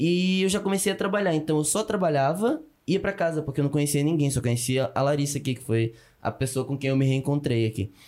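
Over a silent background in a very clean recording, the speech races at a very fast pace with lively intonation. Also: man, fairly high pitch for a man. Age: 20s. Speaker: student immigrant. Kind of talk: casual chat.

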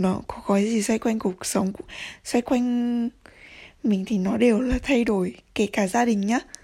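A woman's fairly high, somewhat breathy voice at a fairly slow pace, with fairly even intonation, long, frequent pauses, and a very clean recording with a silent background. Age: 20s. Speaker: podcaster. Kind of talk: casual monologue.

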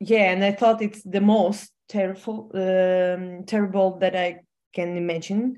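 A woman with monotone, flat intonation against a quiet background. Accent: Ukrainian. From Ukraine. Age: 30s. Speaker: fashion designer and entrepreneur. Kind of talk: personal testimony in interview. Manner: halting.

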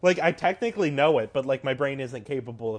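Here is a man with a plain, everyday voice. His pitch variation is ordinary. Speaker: podcast co-host. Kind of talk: casual chat.

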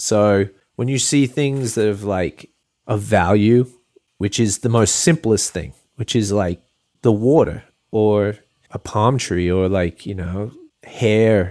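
This is a man talking. He speaks with an Australian accent. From Australia, Port Macquarie NSW. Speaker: artist and photographer. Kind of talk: casual interview chat.

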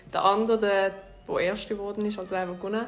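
A woman talks very fast at a medium pitch, her intonation monotone and flat. Room echo is audible. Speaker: podcast host. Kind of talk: casual chat.

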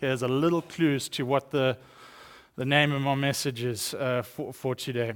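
On a very clean recording with a silent background, a voice with a South African accent speaks at a moderate pace with fairly even intonation. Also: man, medium pitch for a man. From East London, South Africa. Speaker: guest speaker, missions director. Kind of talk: sermon. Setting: church.

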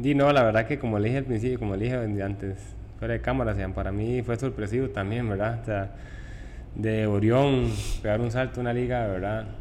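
In a room with audible echo, a man with a fairly low pitch talks at a fairly quick pace with fairly even intonation. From Costa Rica (Tibás, San José). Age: 20s. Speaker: professional footballer. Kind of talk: interview. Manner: halting.

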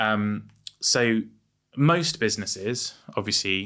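Recorded very cleanly over a silent background, a man speaks with an English accent in a bright, sharp tone. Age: 40s. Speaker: entrepreneur. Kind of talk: casual chat. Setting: studio.

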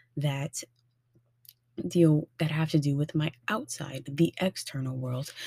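A woman speaks very slowly in a very deep, low voice with a dark, mellow tone and a somewhat breathy quality. Her intonation stays fairly even, broken by long, frequent pauses. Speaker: podcast host and tarot reader. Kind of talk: solo podcast monologue with tarot reading. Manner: warm, friendly, casual.

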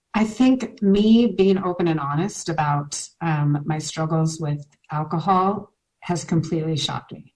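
A woman's somewhat breathy voice moves at a fairly slow pace, its pitch varying in an ordinary way. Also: fairly low pitch for a woman. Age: 40s. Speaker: mom blogger in recovery from alcohol. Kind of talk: interview about personal recovery. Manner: many filler words (um).

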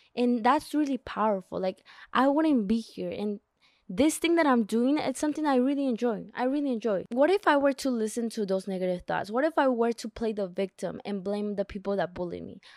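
A woman with a non-native accent speaks at a fairly quick pace with a fairly high pitch and lively intonation. The recording is very clean and dry, close, with no echo and a silent background. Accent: non-native accent, mentions her. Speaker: self-help podcast host. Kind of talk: solo podcast monologue, book summary. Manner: casual, conversational with self-corrections.

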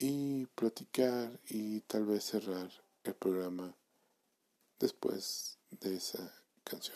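At a very slow pace with long, frequent pauses, a man speaks at a medium pitch with ordinary pitch variation, the sound dry and close with no echo. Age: 30s. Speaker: podcast host. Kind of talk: solo monologue podcast. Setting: home recording at night.

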